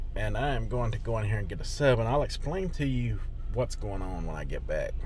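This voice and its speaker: A man with a Southern US accent speaks at a fairly quick pace, with audible room echo and noticeable background noise. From US South, Greenville County, South Carolina. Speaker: vlogger. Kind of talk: casual vlog monologue. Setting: in a car. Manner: halting, many fillers.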